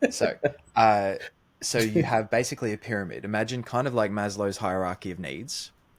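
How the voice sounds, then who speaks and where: The man's pitch is fairly low, with ordinary pitch variation. He talks at a fairly quick pace. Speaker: podcast host. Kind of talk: podcast interview.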